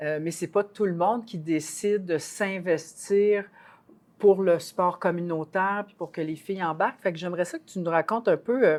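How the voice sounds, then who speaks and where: The loudness swings a lot while the intonation stays fairly even. The background is quiet. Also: woman, fairly low pitch for a woman, moderate pace. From Quebec, small village. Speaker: podcast co-host, university professor, ex-basketball player. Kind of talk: podcast interview.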